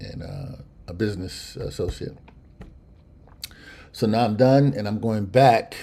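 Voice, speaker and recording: In an American accent, the speaker uses a dark, mellow tone at a fairly slow pace, with ordinary pitch variation, big swings in loudness, and long, frequent pauses. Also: man. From central California. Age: 60s. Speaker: musician and live streamer. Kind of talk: casual live stream chat. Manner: halting.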